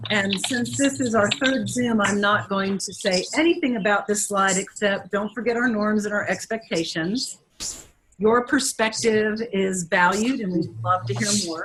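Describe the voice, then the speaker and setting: Someone talks at a fairly slow pace while noticeable background noise sits behind the voice. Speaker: education official leading advisory meeting. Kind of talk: online meeting presentation. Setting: video call; office. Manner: loud.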